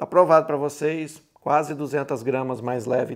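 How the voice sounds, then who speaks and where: This man speaks at a fairly slow pace with vocal fry. His intonation stays fairly even. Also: quiet background. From Brazil. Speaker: gun hobbyist youtuber. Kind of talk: casual chat. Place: home room.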